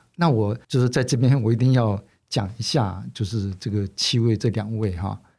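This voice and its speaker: A man's somewhat breathy, dark, mellow voice at a medium pitch with ordinary pitch variation, at a moderate pace on a very clean recording with a silent background. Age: 60s. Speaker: magazine publisher. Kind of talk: interview. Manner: halting, many fillers.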